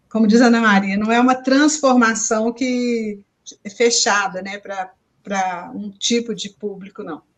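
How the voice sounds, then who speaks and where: Somewhat breathy, a woman's fairly high voice moves at a very slow pace with fairly even intonation. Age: 70s. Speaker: peace education course participant. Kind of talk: casual chat on a live stream.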